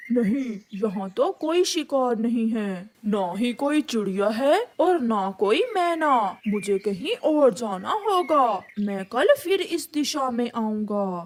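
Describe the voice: A cartoonish character voice, female-sounding and fairly high in pitch. It moves at a fairly slow pace.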